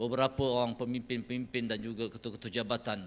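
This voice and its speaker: A man's voice with a bright, sharp tone. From Malaysia. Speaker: government department director. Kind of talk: official opening speech. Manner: formal. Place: hall. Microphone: podium.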